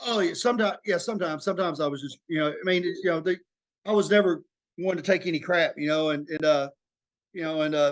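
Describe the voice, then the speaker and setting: A man's high-pitched voice at a very fast pace, with an Arkansas accent. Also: ordinary pitch variation. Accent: Southern US (Arkansas). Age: 40s. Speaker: former prisoner sharing recovery story. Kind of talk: interview testimony. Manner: halting, many fillers.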